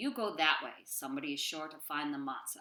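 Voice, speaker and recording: A woman puts on a character voice, pitched very deep and low. She talks at a fairly quick pace. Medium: read story.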